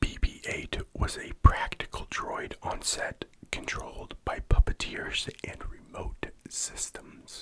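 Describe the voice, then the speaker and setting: Whispering at a very slow pace, a man lets his loudness swing widely while noticeable background noise sits behind him. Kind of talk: ASMR whispered fact narration for sleep. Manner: whispered, soft-spoken.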